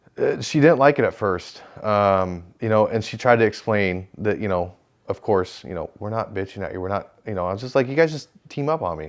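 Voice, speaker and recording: A man with a fairly low pitch talks at a fairly quick pace with lively intonation. His loudness swings widely on a very clean recording with a silent background. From California (Manteca). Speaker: police officer, therapy client. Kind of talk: therapy session conversation. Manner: halting.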